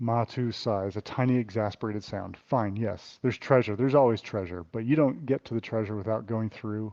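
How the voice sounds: The voice here is a natural reading voice.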